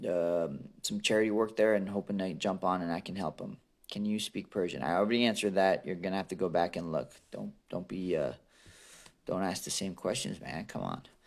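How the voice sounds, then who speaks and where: On a very clean recording with a silent background, a man with a very deep, low pitch speaks at a fairly quick pace with fairly even intonation. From Iran, moved to US at ten. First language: Aramaic (Assyrian). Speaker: MMA fighter. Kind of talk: live Q&A answering viewer questions. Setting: livestream. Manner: casual, halting with fillers.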